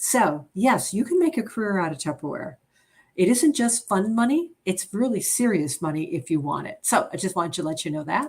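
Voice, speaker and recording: A woman's animated, somewhat breathy voice with an American accent, medium in pitch with very wide pitch swings, at a fairly quick pace on a very clean recording with a silent background. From upstate New York, near Albany. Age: 60s. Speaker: direct sales consultant. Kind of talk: sales presentation livestream. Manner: fast.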